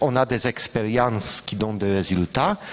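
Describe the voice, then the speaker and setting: The speaker is a man with a Polish accent and ordinary pitch variation. Noticeable background noise is present. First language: Polish (speaking French). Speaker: professor. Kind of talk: panel discussion. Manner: halting.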